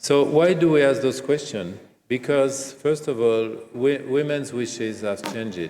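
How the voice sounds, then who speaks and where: A man's dark, mellow voice at a fairly slow pace, ordinary pitch variation, audible room echo. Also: medium pitch for a man. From France. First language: French. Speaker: gynecologist and professor. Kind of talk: keynote lecture. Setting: conference stage with audience.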